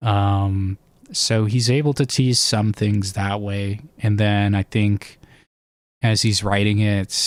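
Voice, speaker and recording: A man speaks quietly at a very slow pace and fairly low pitch, with fairly even intonation, in a very clean recording over a silent background. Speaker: fantasy book theory streamer. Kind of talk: live stream chat. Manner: hesitant, many fillers.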